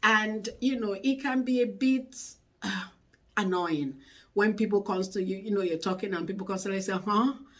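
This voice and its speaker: This woman's voice is somewhat breathy. She speaks at a moderate pace with ordinary pitch variation. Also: medium pitch for a woman. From Nigeria. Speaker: YouTube channel host. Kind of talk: advice talk to camera. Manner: conversational.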